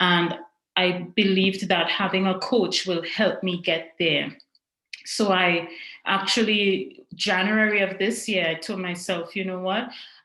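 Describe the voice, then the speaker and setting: A woman with a Trinidadian accent speaks fairly slowly in a bright, sharp tone of medium pitch. Her intonation stays fairly even, and room echo is audible. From Trinidad and Tobago. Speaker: coaching client, project manager. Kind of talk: testimonial interview.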